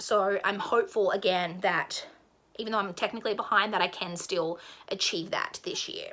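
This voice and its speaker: Speaking fairly quickly, a woman talks with an Australian accent. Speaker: book vlogger. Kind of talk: casual monologue to camera. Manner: fast.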